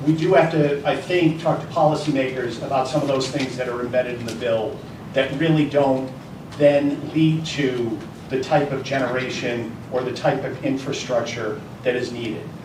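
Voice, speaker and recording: A man at medium pitch speaks at a moderate pace with fairly even intonation. Audible room echo and noticeable background noise surround him. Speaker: energy industry panelist. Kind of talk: panel discussion. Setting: luncheon event with audience. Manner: loud.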